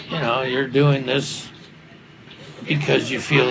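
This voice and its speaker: A man speaks at a medium pitch in a monotone, flat intonation. Noticeable background noise and audible room echo fill the recording. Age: 80s+. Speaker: retired architect. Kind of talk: casual chat.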